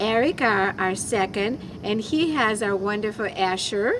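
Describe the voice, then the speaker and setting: A woman with an American accent, a normal speaking voice, a fairly high pitch, lively intonation and a fairly slow pace. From abroad, came to the US at ten. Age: 50s. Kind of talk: casual chat.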